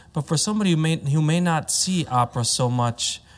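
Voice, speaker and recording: A man with a fairly high pitch talks with lively intonation in a somewhat breathy voice. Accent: Midwestern. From US, Chicago. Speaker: opera tenor. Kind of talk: panel discussion.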